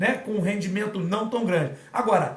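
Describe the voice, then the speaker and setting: Amid noticeable background noise and audible room echo, a man talks fairly quickly in a high, animated voice. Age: 50s. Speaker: fitness and martial arts coach. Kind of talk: casual live talk. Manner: animated, informal.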